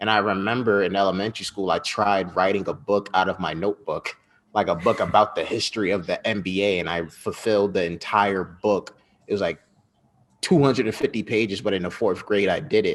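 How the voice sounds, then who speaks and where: The speaker uses a normal speaking voice with an American accent. The pace is fairly quick. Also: man, fairly low pitch for a man, fairly even intonation. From US Northeast, Westchester County, New York. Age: 20s. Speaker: journalist and entrepreneur. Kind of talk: interview. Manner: casual.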